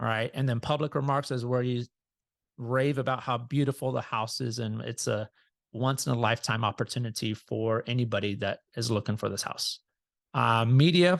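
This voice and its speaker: Against a quiet background, a man with a normal speaking voice talks at a moderate pace in a medium pitch with fairly even intonation, the sound dry and close with no echo. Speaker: real estate agent trainer. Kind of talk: training session. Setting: video call.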